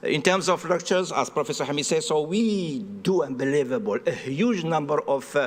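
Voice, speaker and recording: With a French accent, a man speaks at a fairly quick pace using lively intonation. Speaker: astronomy professor and research director. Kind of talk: panel presentation. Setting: round table at an expo pavilion with audience. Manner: halting, many fillers.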